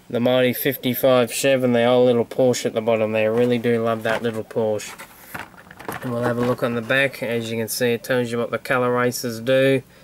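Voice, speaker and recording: A man's medium-pitched, monotone voice with an Australian accent at a fairly quick pace, against noticeable background noise. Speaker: toy collector video host. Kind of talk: casual show-and-tell vlog.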